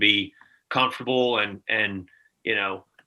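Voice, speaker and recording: In a Southern US accent, a man speaks with monotone, flat intonation. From US South, Mississippi. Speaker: gaming sales executive. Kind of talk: casual chat.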